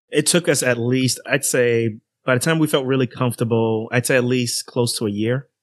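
A man with an American accent speaks at a fairly quick pace, in a normal speaking voice of medium pitch. His intonation is fairly even, his loudness very even, and the sound is dry and close with no echo. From New York City and New Jersey. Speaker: physician and podcaster. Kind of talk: casual interview.

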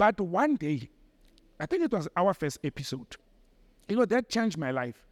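In a dry, close sound with no echo, a man talks at a high pitch and a moderate pace, his pitch swinging very widely, with long, frequent pauses. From South Africa, Mohlakeng, west of Johannesburg. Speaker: political commentator and former diplomat. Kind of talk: interview.

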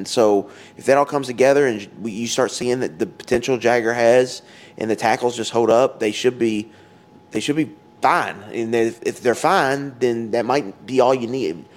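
A man's plain, everyday voice at a moderate pace. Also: medium pitch for a man, ordinary pitch variation. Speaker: sports podcast co-host. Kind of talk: casual chat. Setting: outdoors.

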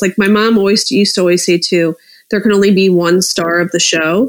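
Here is a woman with a plain, everyday voice at a medium pitch. She keeps a moderate pace and ordinary pitch variation. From US East Coast, Philadelphia suburbs. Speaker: reality TV insider / entertainment guest. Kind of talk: casual chat.

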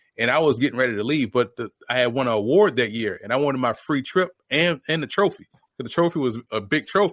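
This man speaks at a very fast pace with a medium pitch and ordinary pitch variation. The recording sounds dry and close, with no echo. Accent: American. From New Orleans, Louisiana. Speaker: football analyst and former player. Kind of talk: podcast interview.

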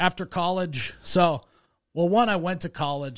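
Speaking at a moderate pace, a man talks with an Upper Midwest accent. The recording is very clean, with a silent background. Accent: Upper Midwest American. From US Midwest. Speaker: comedy video creator, media company owner. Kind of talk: casual chat.

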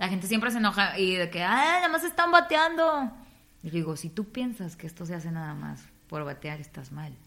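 A woman speaks at a fairly quick pace with big swings in loudness. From Tamaulipas, northern Mexico. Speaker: radio announcer and comedian. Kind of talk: interview.

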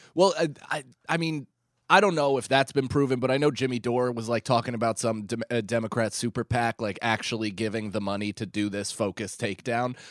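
In an American accent, a man uses an ordinary speaking voice at a medium pitch and fairly quick pace with ordinary pitch variation, on a very clean recording with a silent background and a dry, close sound with no echo. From New York area. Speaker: comedian. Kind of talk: casual chat.

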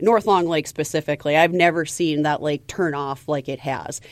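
A woman speaks in a normal speaking voice, pitched fairly low. Her pitch moves in an ordinary way, and her pace is fairly quick. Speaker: angler and biologist contributor. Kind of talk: casual fishing talk.

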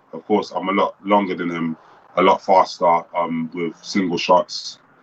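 A very deep, low-pitched man with a British accent, flat and monotone, at a fairly slow pace. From United Kingdom. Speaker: professional boxer. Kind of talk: casual interview.

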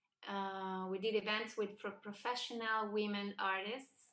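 Speaking with a Spanish accent, a woman keeps to a fairly slow pace. Her pitch is medium. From Argentina, Buenos Aires. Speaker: singer-songwriter. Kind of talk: interview.

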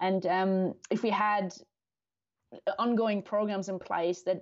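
A woman with a German accent talks with fairly even intonation. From Germany. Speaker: neuroscientist and endurance cyclist. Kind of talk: casual interview.

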